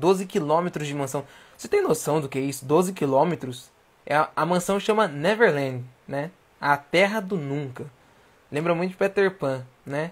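A man with an animated tone, fairly high pitch and ordinary pitch variation, at a moderate pace broken by long, frequent pauses. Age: 20s. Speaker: livestream host. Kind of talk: casual livestream talk. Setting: at home.

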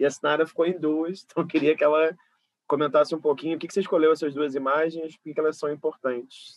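A man's fairly high, monotone voice at a very fast pace, flat in intonation, in a dry, close recording with no echo. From Brazil, Rio de Janeiro west zone. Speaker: interviewer, curator. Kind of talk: interview conversation. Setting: video recording.

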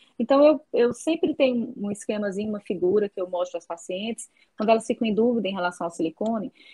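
The speech moves at a very fast pace with lively intonation. Its loudness swings widely. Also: woman, fairly high pitch for a woman. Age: 40s. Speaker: doctor specializing in breast health. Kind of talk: interview, casual chat. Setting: remote online call.

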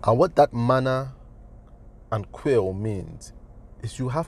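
A man is talking. His voice is somewhat breathy, with ordinary pitch variation. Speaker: design educator. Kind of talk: motivational talk. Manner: halting.

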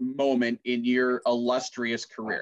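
Speaking with a Minnesota accent, a man talks at a fairly slow pace with ordinary pitch variation. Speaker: podcast host and announcer. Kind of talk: casual interview chat.

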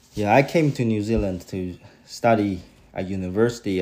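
A man with a Chinese accent speaks at a fairly quick pace. His voice is very deep and low with a dark, mellow tone and ordinary pitch variation. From China, Beijing. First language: Mandarin Chinese. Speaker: parent interviewed by child. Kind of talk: casual family interview.

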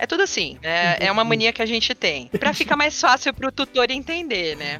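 With music in the background, a woman speaks at a fairly high pitch with very wide pitch swings. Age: 30s. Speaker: veterinarian. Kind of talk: casual chat. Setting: studio.

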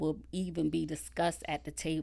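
Heard in a very clean recording with a silent background, a woman with a Southern US accent speaks at a moderate pace. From South Carolina (Conway). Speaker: political candidate. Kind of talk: interview. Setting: studio.

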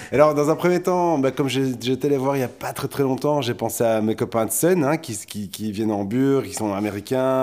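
In a normal speaking voice, a man of medium pitch talks at a fairly quick pace with lively intonation and hardly any pauses. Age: 40s. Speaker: podcast co-host. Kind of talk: casual chat.

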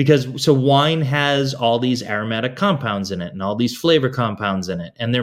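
A normal speaking voice from a man with an American accent, at medium pitch and a moderate pace with ordinary pitch variation, in a very clean recording with a silent background. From Boston, US. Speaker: food and wine educator. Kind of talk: interview, casual conversation.

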